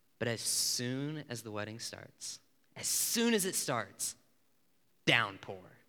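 In an American accent, a man with a bright, sharp tone and medium pitch talks at a fairly slow pace. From Illinois, US Midwest. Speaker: campus ministry speaker. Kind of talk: sermon.

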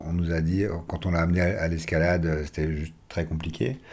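This man's tone is dark and mellow. He talks at a moderate pace. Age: 40s. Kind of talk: testimony. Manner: halting, with many repetitions.

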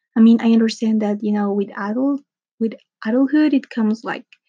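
The tone is dark and mellow, somewhat breathy. The sound is dry and close, with no echo. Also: woman. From Mexico. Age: 20s. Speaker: podcaster. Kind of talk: personal monologue. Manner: casual, rambling with fillers.

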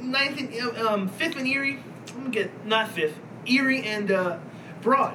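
Over noticeable background noise, a man projects a raised voice at an extremely high pitch, speaking fairly slowly with ordinary pitch variation. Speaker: podcast host. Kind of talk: casual banter podcast chat. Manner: profane, rambling, halting.

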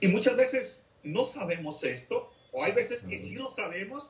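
A man with a Mexican accent speaks fairly slowly, his pitch swinging very widely. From Mexico, Jalisco. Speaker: deacon. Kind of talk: testimony.

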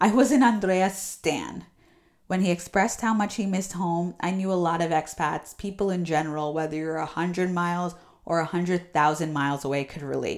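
A woman with an American accent speaks at a moderate pace in an unremarkable speaking voice, her pitch fairly low and its variation ordinary. The recording is very clean, with a silent background. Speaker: podcast host. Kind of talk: casual interview chat.

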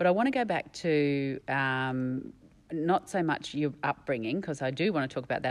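With an Australian accent, a woman speaks in a very deep, low pitch against a quiet background. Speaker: podcast host. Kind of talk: interview.

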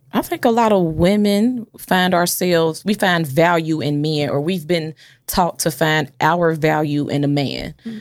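In a very clean recording with a silent background, a woman with a fairly low pitch speaks at a fairly slow pace, with ordinary pitch variation and hardly any pauses. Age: 20s. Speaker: podcast host. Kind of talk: casual chat. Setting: studio.

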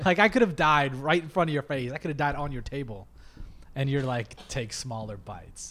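Fairly quick and fairly high-pitched, a man with an American accent speaks in a bright, sharp tone. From Ohio. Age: 30s. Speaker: podcast host. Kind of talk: casual chat.

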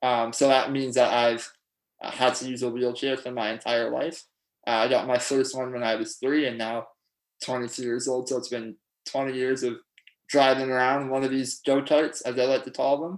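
A man with a Canadian accent speaks in a monotone, flat intonation at a moderate pace. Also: medium pitch for a man, very clean recording, silent background. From Ontario, Canada (Pickering). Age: 20s. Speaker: law student, power hockey player. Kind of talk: casual interview.

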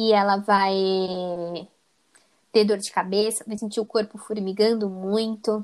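This woman has a plain, everyday voice. Her pitch is medium. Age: 20s. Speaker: psychology student. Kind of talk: interview.

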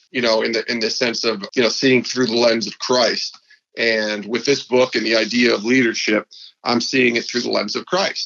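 The speaker has an upstate New York accent, with fairly even intonation at a moderate pace. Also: man. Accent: upstate New York American. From upstate New York (Albany). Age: 40s. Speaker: sports podcast host and former TV producer. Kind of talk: interview conversation.

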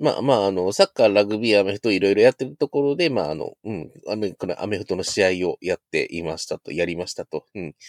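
Fairly low in pitch, a man talks at a very fast pace with hardly any pauses and lively intonation. The sound is dry and close, with no echo. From Shodoshima, Kagawa / Osaka, western Japan. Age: 30s. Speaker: PhD-holder podcast guest. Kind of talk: casual chat.

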